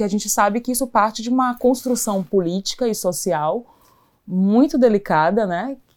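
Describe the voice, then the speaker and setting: Moderate speed and ordinary pitch variation from a woman with a dark, mellow tone. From Brazil, Salvador, Bahia. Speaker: social entrepreneur. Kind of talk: casual chat.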